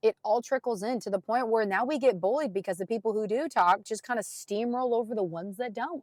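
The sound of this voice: At a fairly quick pace, a raspy voice with a slightly mellow tone and ordinary pitch variation comes through in a dry, close sound with no echo. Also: woman, fairly high pitch for a woman.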